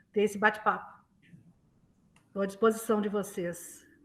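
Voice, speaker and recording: A woman is speaking. Her pitch sits fairly high. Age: 60s. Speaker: retired journalism professor. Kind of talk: interview.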